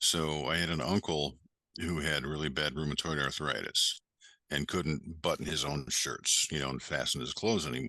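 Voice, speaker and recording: A man with an American accent speaks at a moderate pace in a very deep, low pitch with vocal fry. His tone is bright and sharp, and his pitch varies in an ordinary way. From Western New York. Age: 60s. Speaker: ecommerce educator and entrepreneur. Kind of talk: podcast interview.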